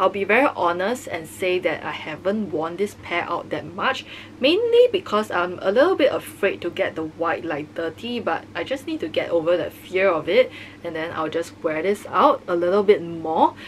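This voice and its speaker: A woman speaks with lively intonation at a moderate pace over noticeable background noise. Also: medium pitch for a woman. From Singapore. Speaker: fashion vlogger. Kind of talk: product review. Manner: casual.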